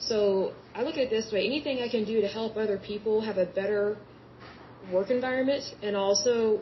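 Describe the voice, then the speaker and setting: A woman with a fairly high pitch talks at a moderate pace and fairly even intonation while noticeable background noise continues. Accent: American. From Oklahoma (Yukon). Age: 30s. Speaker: podcast host. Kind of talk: solo podcast monologue. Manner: conversational, repetitive.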